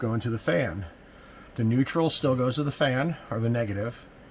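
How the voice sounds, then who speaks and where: Light background noise sits under a man speaking at medium pitch and a moderate pace. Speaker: RV DIY installer. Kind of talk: casual DIY tutorial talk to camera. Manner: hesitant, many filler words. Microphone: phone near.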